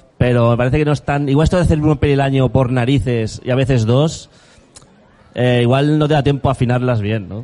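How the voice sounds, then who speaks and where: Noticeable background noise sits behind a man at medium pitch. He talks at a fairly quick pace. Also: fairly even intonation. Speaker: podcast host. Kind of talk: casual chat. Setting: live event with audience.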